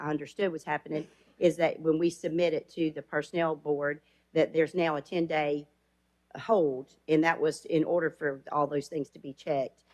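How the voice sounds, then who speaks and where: With an Alabama accent, a woman speaks at a moderate pace in a very deep, low pitch and a monotone, flat intonation. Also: big swings in loudness. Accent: Southern US (Alabama). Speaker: elected county official. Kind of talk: public meeting comment. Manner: loud.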